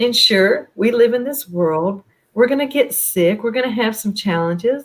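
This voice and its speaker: A woman with an American accent uses a plain, everyday voice, fairly high in pitch with ordinary pitch variation, at a moderate pace. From US South, Charlotte, North Carolina. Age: 60s. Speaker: wellness coach. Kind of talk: interview.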